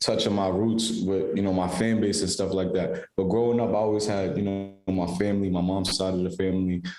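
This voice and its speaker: A man with a New York accent talks at a fairly quick pace and a fairly low pitch, in a monotone, flat delivery with very even loudness and hardly any pauses. Music plays in the background, and audible room echo is present. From Staten Island, New York. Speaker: musician. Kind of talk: casual interview chat. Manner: hesitant, filler-heavy.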